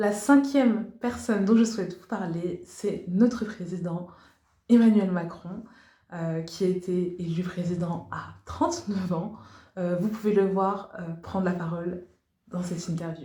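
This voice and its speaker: Somewhat breathy and at a fairly slow pace, a woman talks in a medium pitch with ordinary pitch variation, and audible room echo is present. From Liberia. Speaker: English teacher, YouTuber. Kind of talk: educational video presentation. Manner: hesitant with frequent fillers.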